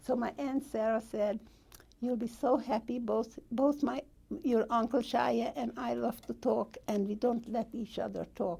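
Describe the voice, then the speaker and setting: Speaking at a fairly slow pace, a woman with a fairly high, dark and mellow voice uses fairly even intonation and vocal fry. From Hungary. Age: 80s+. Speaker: Holocaust survivor. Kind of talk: oral history interview.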